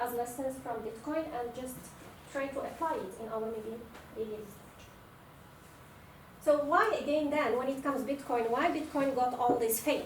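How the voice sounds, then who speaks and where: Amid noticeable background noise and audible room echo, a woman with a high pitch and ordinary pitch variation talks at a moderate pace with long, frequent pauses. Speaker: postdoc lecturer. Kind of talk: lecture.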